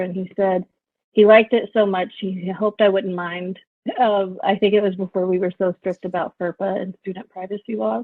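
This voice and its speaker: A woman with an American accent, fairly quick pace, and fairly even intonation. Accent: Southern Texan accent, somewhat worked on. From rural West Texas. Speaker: professor. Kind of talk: interview. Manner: many fillers and restarts.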